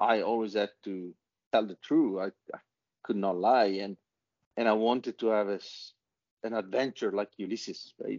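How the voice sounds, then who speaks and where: A man with an Italian accent, fairly low in pitch, with fairly even intonation and long, frequent pauses. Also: moderate pace. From Italy. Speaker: author and business leader. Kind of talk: interview.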